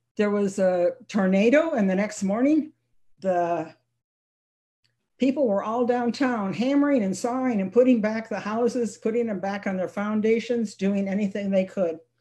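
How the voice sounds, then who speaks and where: Here a woman has a fairly high pitch and a dark, mellow tone that is somewhat breathy. She moves at a moderate pace with ordinary pitch variation. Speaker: children's book author. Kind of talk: author presentation.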